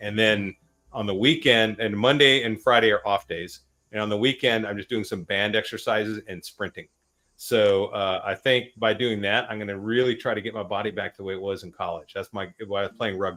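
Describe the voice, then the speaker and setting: This is a man with an unremarkable speaking voice and a fairly low pitch. He moves at a fairly quick pace with fairly even intonation. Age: 50s. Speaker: live-stream host, army veteran. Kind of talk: casual panel chat.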